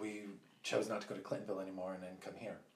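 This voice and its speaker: A man talks in a fairly low pitch with monotone, flat intonation. The room has an audible echo. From Northern California. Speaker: salon owner. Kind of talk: casual chat.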